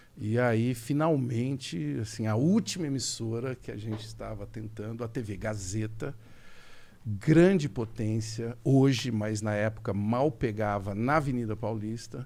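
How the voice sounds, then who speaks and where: The man's voice sounds dark and mellow. He speaks at a fairly slow pace. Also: medium pitch for a man, ordinary pitch variation. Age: 60s. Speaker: TV presenter and journalist. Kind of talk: podcast interview, casual chat.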